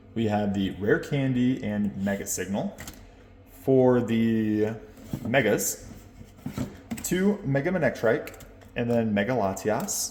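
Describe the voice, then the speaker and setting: Delivered at a very slow pace, the speech comes with noticeable background noise. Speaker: collectibles content creator. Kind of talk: casual vlog commentary, pack opening. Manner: animated.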